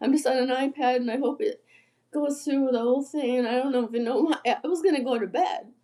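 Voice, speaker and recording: A woman speaks quietly in a high voice with a dark, mellow tone. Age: 60s. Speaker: musician livestreamer. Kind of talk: casual livestream chat. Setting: livestream on an iPad. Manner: halting.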